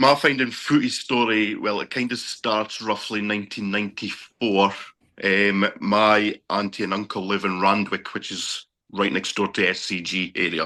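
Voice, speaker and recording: A man with a Scottish accent, fairly low pitch, a bright, sharp tone and fairly even intonation over a quiet background. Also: moderate pace. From Scotland. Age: 40s. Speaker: sports fan, bus driver. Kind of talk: casual interview.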